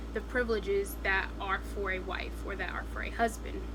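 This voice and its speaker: Noticeable background noise and audible room echo are both present. Through them, a woman talks at a moderate pace. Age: 20s. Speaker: vlogger. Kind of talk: casual chat.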